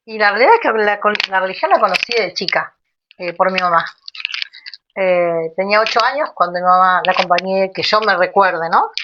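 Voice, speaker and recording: The speaker has an Argentine accent and a moderate pace. Pitch varies in an ordinary way. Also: woman, medium pitch for a woman. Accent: Rioplatense Argentine Spanish. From Argentina, Buenos Aires northern suburbs. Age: 50s. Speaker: Afro-Brazilian religion priestess. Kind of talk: interview. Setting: home, livestream.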